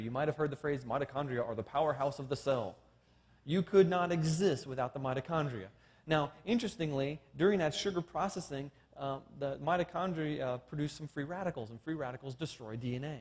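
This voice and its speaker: A man with a fairly high pitch and a somewhat breathy voice talks at a very fast pace, his pitch varying in an ordinary way. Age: 40s. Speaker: creationist science lecturer. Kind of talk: seminar lecture.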